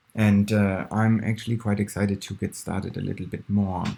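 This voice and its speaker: A man mumbles at a moderate pace in a fairly low pitch. His tone is dark and mellow. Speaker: programmer. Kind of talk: screen-recorded coding tutorial. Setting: poor-quality recording. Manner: mumbling, hesitant.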